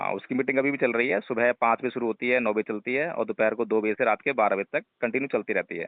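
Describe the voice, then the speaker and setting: A normal speaking voice comes from a man at a medium pitch. He uses fairly even intonation and hardly any pauses. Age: 40s. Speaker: Buddhist teacher. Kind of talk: phone conversation.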